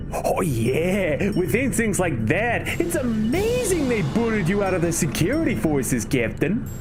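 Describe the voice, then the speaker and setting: A put-on character voice speaks at a moderate pace against loud background noise. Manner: sarcastic.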